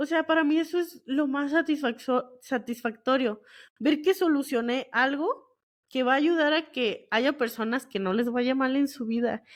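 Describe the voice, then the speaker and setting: A high-pitched woman's voice at a fairly slow pace, with ordinary pitch variation, over a quiet background. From northern Mexico, Monterrey area. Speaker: geoscience podcast host. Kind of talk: casual solo podcast talk. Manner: casual, colloquial with fillers.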